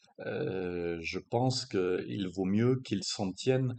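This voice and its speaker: Male speech, its pitch varying in an ordinary way. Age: 60s. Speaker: strength coach. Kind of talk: monologue explainer video. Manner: halting, many hesitations.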